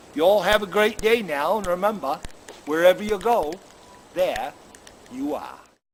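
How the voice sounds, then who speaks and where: Someone with a Maine accent speaks at a moderate pace with lively intonation. Background noise is noticeable. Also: man. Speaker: storyteller, comedian. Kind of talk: casual talk to camera, video greeting.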